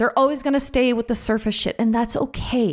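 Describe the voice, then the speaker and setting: On a very clean recording with a silent background, a woman with an ordinary speaking voice talks at a fairly quick pace in a fairly high pitch. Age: 40s. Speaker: podcast host and women's coach. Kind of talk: casual solo monologue.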